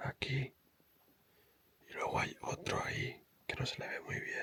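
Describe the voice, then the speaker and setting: The speaker is whispering. The pace is very slow. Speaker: travel vlogger. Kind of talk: travel vlog narration. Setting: indoors in a hunting cabin watching bears. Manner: soft, hushed.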